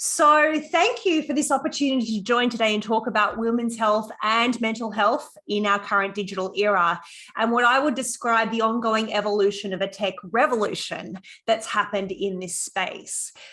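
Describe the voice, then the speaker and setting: A woman with an Australian accent talks at a moderate pace. Her voice is fairly high, with a bright, sharp tone. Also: ordinary pitch variation. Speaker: psychologist and program founder. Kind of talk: conference talk.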